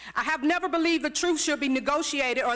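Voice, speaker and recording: In a raised, projected voice with a bright, sharp tone, a woman with an American accent speaks at a fairly quick pace with ordinary pitch variation. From US South, Florida. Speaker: public commenter at city meeting. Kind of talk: prepared public comment speech. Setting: city commission meeting chamber. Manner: impassioned, oratorical.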